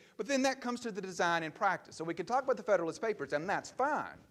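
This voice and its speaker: A man speaks with a Southern US accent and lively intonation. The recording is very clean, with a silent background. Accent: Southern US (Georgia). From US South, Georgia (LaGrange). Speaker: political science professor. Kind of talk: lecture. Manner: fast.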